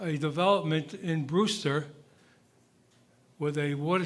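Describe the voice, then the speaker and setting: A man with a fairly high pitch and fairly even intonation talks at a moderate pace, with audible room echo. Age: 80s+. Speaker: resident speaking at public comment. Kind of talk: public comment at town meeting. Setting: town hall meeting.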